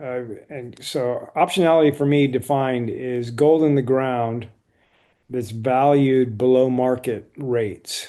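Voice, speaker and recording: A man talks at a fairly slow pace in a normal speaking voice, medium in pitch, with fairly even intonation. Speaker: investing commentator. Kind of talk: stock review monologue.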